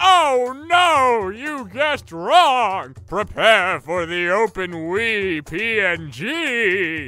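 A man's raised, projected voice, high in pitch with very wide pitch swings, at a very slow pace with hardly any pauses, over faint music in the background. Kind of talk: comic overacting. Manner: indignant, theatrical, mock-menacing.

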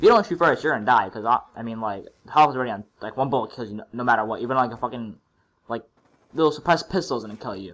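Talking at a very fast pace, a man uses a medium pitch with ordinary pitch variation and big swings in loudness. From Russia. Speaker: gaming youtuber. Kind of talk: gameplay commentary. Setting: home recording over gameplay. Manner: casual, halting with fillers.

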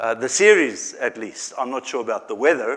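A man speaks at a moderate pace in a quiet setting. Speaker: church staff preacher. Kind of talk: sermon. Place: church.

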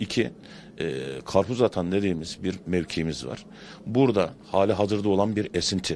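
Over light background noise, a man with a very deep, low pitch and vocal fry speaks at a fairly slow pace. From Turkey. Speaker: pastırma shopkeeper. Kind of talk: street interview. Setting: outdoors at a bazaar. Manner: hesitant, many fillers. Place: shop. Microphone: handheld.

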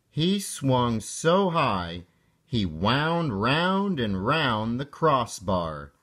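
Simple reading aloud, nothing more.

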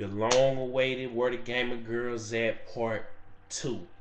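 A man's voice with audible room echo. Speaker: YouTuber vlogger. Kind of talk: casual vlog monologue. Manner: casual, hesitant with fillers.

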